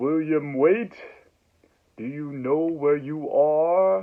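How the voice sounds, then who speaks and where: In a put-on character voice, a man sounds loud and booming at a fairly high pitch, speaking at a very slow pace. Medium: solo performance. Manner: condescending, sighing, sarcastic.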